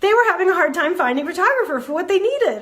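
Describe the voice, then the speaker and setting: A woman speaks with lively intonation. Her tone is animated. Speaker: photography business coach. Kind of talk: casual livestream talk. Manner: fast. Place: home room. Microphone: earbuds.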